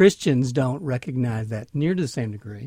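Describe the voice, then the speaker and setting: A man with a Southern US accent, fairly high-pitched, with lively intonation. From Mississippi. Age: 50s. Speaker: minister. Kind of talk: interview. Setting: studio.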